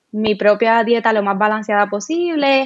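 A woman's fairly high-pitched voice with ordinary pitch variation. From Puerto Rico, Cabo Rojo. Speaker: vegan and sustainable fashion content creator. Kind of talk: interview.

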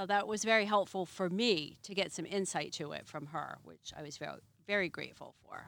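A woman with a normal speaking voice talks at a fairly quick pace and a medium pitch, using ordinary pitch variation and big swings in loudness. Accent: American. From Massachusetts. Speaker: Airbnb host, former flight attendant. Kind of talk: casual interview. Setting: outdoors by a fire.

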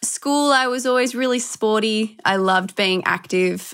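An Australian accent marks this woman's speech. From Australia, Melbourne. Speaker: health and fitness entrepreneur, former model. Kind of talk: interview. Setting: video call.

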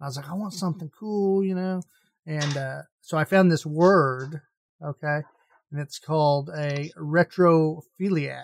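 A man with a fairly high pitch and fairly even intonation speaks in a normal speaking voice. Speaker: gaming podcast host. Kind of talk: casual chat.

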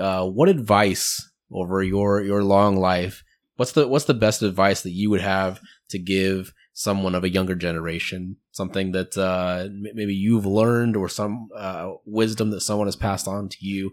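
Here a man with an ordinary speaking voice and a fairly low pitch talks at a moderate pace. His intonation is fairly even, and the recording is very clean with a silent background. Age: 30s. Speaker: podcast host. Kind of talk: casual chat.

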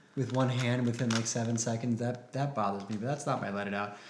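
This is a normal speaking voice at a fairly quick pace. Its pitch variation is ordinary. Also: man. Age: 30s. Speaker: podcast co-host, author and speaker. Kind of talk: casual podcast conversation. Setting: live Facebook broadcast.

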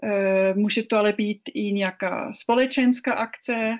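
A woman speaks with a non-native accent. Her pace is very slow. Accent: foreign accent in Czech. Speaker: business chamber director. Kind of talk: interview. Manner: halting.

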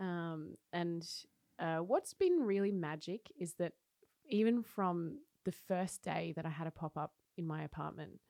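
Speaking in an Australian accent, a woman talks at a fairly slow pace with a fairly low pitch and ordinary pitch variation. Her tone is dark and mellow, and the sound is dry and close with no echo. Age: 30s. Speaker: cafe owner and coffee roaster. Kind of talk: casual interview chat. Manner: animated.

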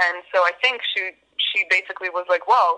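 Her tone is bright and sharp at a medium pitch. The woman keeps a moderate pace. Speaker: band musician. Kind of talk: interview. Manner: hesitant, many fillers.

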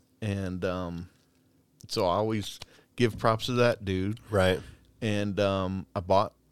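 Over a very clean, silent background, a man speaks at a very slow pace and a fairly low pitch, with fairly even intonation and long, frequent pauses. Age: 40s. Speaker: corrections deputy. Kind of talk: casual chat.

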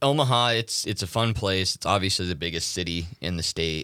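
Very deep and low, a man's voice, bright and sharp in tone, moves at a moderate pace with ordinary pitch variation, dry and close with no echo on a very clean recording with a silent background. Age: 30s. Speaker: radio host. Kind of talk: casual chat. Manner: hesitant, many fillers.

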